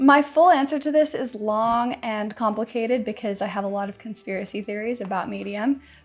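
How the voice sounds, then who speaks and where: With music in the background, a woman speaks fairly high at a fairly quick pace, with hardly any pauses, ordinary pitch variation and big swings in loudness. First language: Spanish. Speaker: YouTuber and blogger answering viewer comments. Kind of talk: casual commentary reading viewer comments. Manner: chatty, with filler words.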